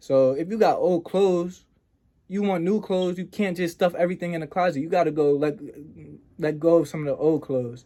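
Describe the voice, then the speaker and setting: A man speaks in a high voice with a dark, mellow tone. His pace is fairly quick, with ordinary pitch variation. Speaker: self-improvement podcaster. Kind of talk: motivational talk. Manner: casual.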